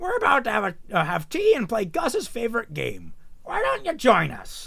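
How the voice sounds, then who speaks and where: Over light background noise, a man performs a put-on character voice at a moderate pace. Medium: read story. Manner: hearty, welcoming.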